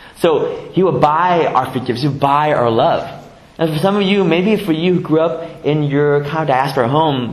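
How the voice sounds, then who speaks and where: A fairly high-pitched man with an American accent, at a fairly quick pace, with ordinary pitch variation, over noticeable background noise. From US West Coast, San Jose (Vietnamese refugee family). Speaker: pastor. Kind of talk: sermon. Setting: church. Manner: halting, with repetitions and fillers.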